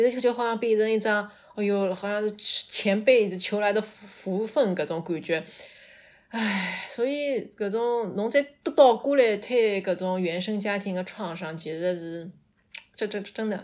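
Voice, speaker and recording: At a fairly slow pace, a woman speaks, her pitch varying in an ordinary way. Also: medium pitch for a woman. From Shanghai. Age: 30s. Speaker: storyteller guest. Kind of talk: personal storytelling. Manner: halting.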